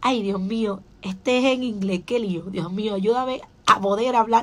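A woman talks in an animated tone at a fairly slow pace, with ordinary pitch variation. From Dominican Republic. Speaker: pastor; pastor, preacher. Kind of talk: radio sermon. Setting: radio studio. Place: studio. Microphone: studio mic.

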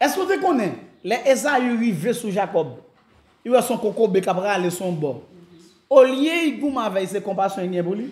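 A man speaks at a moderate pace, his pitch high for a man. Long, frequent pauses break up his speech amid audible room echo. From Haiti. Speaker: pastor; pastor giving a conference. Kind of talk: sermon. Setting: church. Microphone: camera far.

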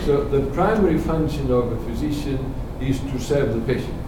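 A man talks at a moderate pace. Noticeable background noise and audible room echo surround his voice. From Spain. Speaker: professor. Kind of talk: lecture. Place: meeting room. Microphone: camera far.

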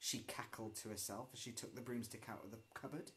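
The man's voice is somewhat breathy. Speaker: storyteller. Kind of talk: story read-aloud with character voices. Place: home room. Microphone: phone near.

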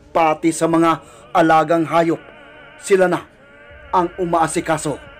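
Music plays in the background as a man talks at a fairly slow pace. His voice is high-pitched, with monotone, flat intonation. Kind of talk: horror story narration.

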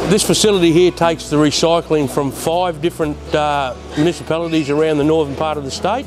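Noticeable background noise accompanies this man as he talks. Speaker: council services supervisor guide. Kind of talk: tour explanation. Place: factory.

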